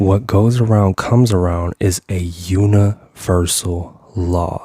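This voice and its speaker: A man's very deep, low, somewhat breathy voice at a very slow pace. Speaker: motivational speaker and mindset coach. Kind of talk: motivational talk. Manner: animated.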